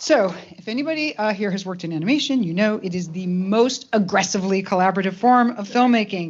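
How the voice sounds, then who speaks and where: Over noticeable background noise, the speech races at a very fast pace with hardly any pauses, lively intonation and big swings in loudness. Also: woman, medium pitch for a woman. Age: 60s. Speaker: animation studio executive. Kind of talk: speech at awards ceremony.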